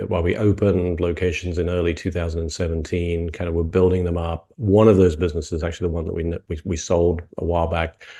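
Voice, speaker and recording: Against a quiet background, a man with a British accent speaks in a very deep, low pitch with a dark, mellow tone. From UK. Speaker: franchise consultant. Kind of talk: interview. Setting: video call.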